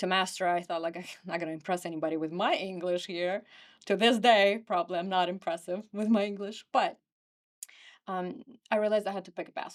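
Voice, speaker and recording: Speaking at a very fast pace with a Ukrainian accent, a woman shows ordinary pitch variation on a very clean recording with a silent background. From Ukraine. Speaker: real estate agent. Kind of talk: podcast interview.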